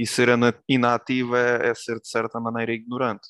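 A man speaks at a fairly quick pace with monotone, flat intonation at a medium pitch. The background is quiet. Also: dry, close sound with no echo. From Portugal, Tomar (born in Ukraine). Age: 20s. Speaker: political candidate, student. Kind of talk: interview. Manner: halting, many fillers.

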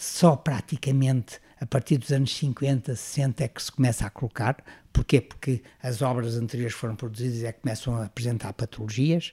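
Somewhat breathy and medium in pitch, a man speaks at a moderate pace with fairly even intonation, the sound dry and close with no echo on a very clean recording with a silent background. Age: 70s. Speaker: retired engineering professor. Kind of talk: interview. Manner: halting.

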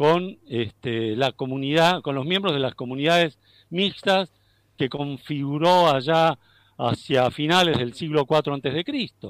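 A man talks at a fairly slow pace with a fairly high pitch. The recording is very clean, with a silent background and a dry, close sound with no echo. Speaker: philosophy professor. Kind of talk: interview. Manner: halting.

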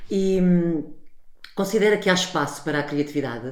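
Audible room echo follows a woman who speaks at a moderate pace with ordinary pitch variation. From Portugal. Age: 40s. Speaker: podcast host, television professional. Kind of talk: interview.

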